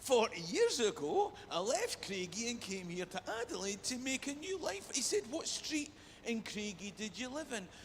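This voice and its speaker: A man with a Scottish accent and an extremely high voice, very wide pitch swings, a moderate pace and hardly any pauses, over noticeable background noise. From Scotland, Perth. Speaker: comedian. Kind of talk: stand-up. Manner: animated.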